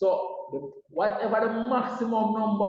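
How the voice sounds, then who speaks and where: A man speaks loudly. His pitch is high. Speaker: maths teacher. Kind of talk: lecture. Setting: online class.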